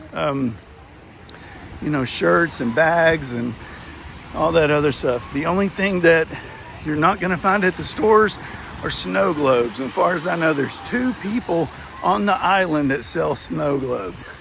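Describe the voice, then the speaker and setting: A man with a Texas accent speaks in a fairly high pitch with lively intonation at a moderate pace. He leaves long, frequent pauses, and noticeable background noise is present. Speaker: travel vlogger. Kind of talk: walking tour review. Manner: casual, halting with fillers.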